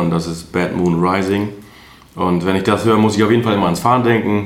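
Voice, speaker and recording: Over noticeable background noise and audible room echo, a man speaks at a very fast pace. His pitch is very deep and low, with fairly even intonation. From Münsterland, north-west Germany. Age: 20s. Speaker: truck driver. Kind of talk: interview.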